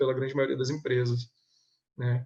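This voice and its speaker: A somewhat breathy male voice at a medium pitch. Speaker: government compliance auditor. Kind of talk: webinar presentation. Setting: online webinar. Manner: hesitant, many filler sounds.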